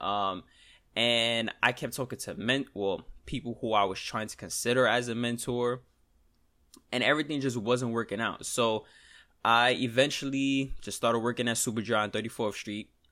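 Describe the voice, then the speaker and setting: With a New York accent, a man speaks in a bright, sharp tone with fairly even intonation on a very clean recording against a silent background. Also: medium pitch for a man, moderate pace. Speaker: trader and podcaster. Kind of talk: solo podcast, casual talk. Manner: casual, conversational, venting.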